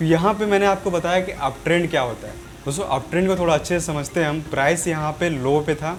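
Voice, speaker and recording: Over music in the background, a man talks at a moderate pace with a fairly high pitch. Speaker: trading educator. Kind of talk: tutorial. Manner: casual, repetitive explaining.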